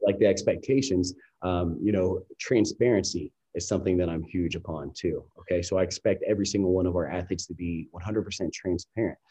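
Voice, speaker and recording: Against a quiet background, a man with an American accent speaks at a fairly quick pace in a very deep, low pitch, his tone dark and mellow, somewhat breathy, with ordinary pitch variation. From US Midwest, Columbus, Ohio. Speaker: dietitian and bodybuilding coach. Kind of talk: podcast interview.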